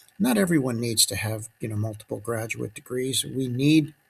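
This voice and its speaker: The voice has vocal fry. Its pitch variation is ordinary. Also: man. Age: 70s. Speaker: physician commentator. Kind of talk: reflective monologue. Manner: halting, with fillers.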